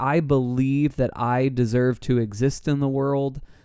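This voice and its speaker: A man with a plain, everyday voice, medium in pitch, at a fairly slow pace. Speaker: podcast host. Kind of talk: casual podcast conversation.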